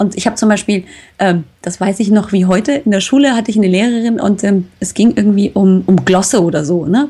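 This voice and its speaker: At a fairly quick pace, a woman speaks with a medium pitch, ordinary pitch variation and a somewhat breathy quality. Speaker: health podcaster. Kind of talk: casual interview. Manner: animated.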